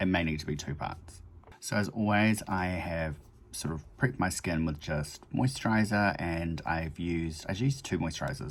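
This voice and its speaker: Relaxed in tone, a man with a New Zealand accent speaks in a very deep, low voice. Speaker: makeup vlogger. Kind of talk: casual chat tutorial. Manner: relaxed, rambling with fillers.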